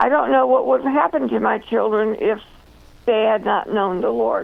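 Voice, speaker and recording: Noticeable background noise sits behind a woman whose loudness stays very even. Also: moderate pace. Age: 70s. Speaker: author and speaker. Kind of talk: radio interview testimony.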